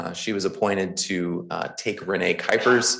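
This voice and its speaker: This man talks in a Midwestern accent. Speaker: county clerk. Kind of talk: public meeting announcement. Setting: county board meeting at podium.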